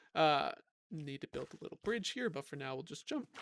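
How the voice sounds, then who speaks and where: With a plain, everyday voice, a man talks at a fairly quick pace in a fairly high pitch, the sound dry and close with no echo. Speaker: gaming YouTuber. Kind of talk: gameplay commentary.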